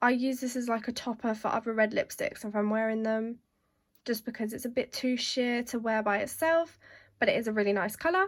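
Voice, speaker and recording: The recording is very clean, with a silent background. A woman with a British accent and a fairly high pitch talks at a fairly quick pace. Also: ordinary pitch variation. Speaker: beauty vlogger. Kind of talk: casual product show-and-tell.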